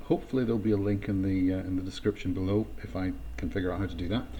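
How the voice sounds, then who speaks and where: A man speaks in a slight Scottish accent. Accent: mild Scottish. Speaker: Salesforce consultant. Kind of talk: technical tutorial narration. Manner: casual, hesitant, many fillers.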